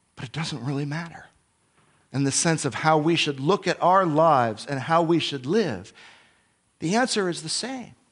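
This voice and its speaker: With lively intonation and a fairly high pitch, a man talks at a moderate pace, leaving long, frequent pauses. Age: 40s. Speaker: Bible teacher. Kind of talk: sermon.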